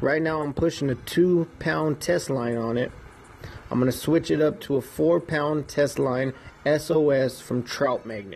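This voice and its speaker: A man's ordinary speaking voice, fairly high in pitch, with ordinary pitch variation and a fairly slow pace. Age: 20s. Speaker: fishing podcaster. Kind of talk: casual solo podcast talk. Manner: casual, with frequent fillers.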